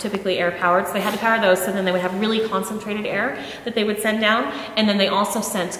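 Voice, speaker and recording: A woman talking very fast in a flat monotone, with audible room echo and light background noise. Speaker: local tour guide. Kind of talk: guided tour explanation. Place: hall. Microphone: camera far.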